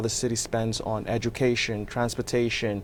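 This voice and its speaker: A man with a Nigerian accent and a dark, mellow tone speaks at a moderate pace. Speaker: real estate developer and political candidate. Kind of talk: interview.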